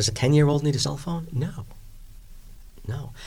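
A man with a New York accent talks at a fairly quick pace in a fairly high, somewhat breathy voice. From New York, Long Island. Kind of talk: interview.

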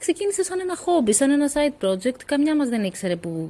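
A woman with very wide pitch swings amid noticeable background noise. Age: 40s. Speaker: author and co-founder of a women's nonprofit. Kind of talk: interview conversation.

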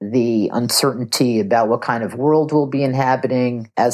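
A natural voice reads the text aloud.

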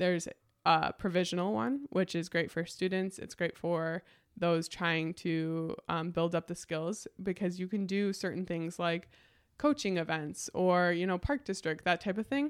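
A woman's fairly low, plain, everyday voice with ordinary pitch variation on a very clean recording with a silent background. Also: fairly slow pace. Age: 20s. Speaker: sign language interpreter. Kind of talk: casual chat.

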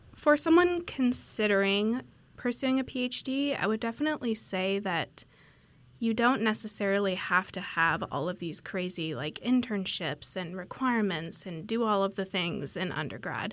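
Speaking with an American accent, a woman at a medium pitch uses lively intonation at a moderate pace. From US Pacific Northwest, Washington State. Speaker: PhD student. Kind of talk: interview.

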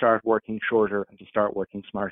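Here is a man with an Irish accent. He speaks at a very fast pace. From Ireland. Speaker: workplace policy expert. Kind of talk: interview.

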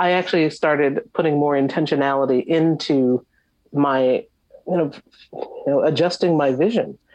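With an American accent, a woman speaks at a moderate pace in a very deep, low pitch with fairly even intonation. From US Northeast, Long Island, New York. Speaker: visual artist and professor. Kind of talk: interview. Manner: halting, many fillers.

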